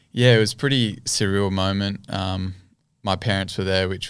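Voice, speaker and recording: On a very clean recording with a silent background, a man with a very deep, low pitch speaks at a moderate pace in an Australian accent. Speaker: cricketer. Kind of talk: casual interview. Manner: hesitant, many ums.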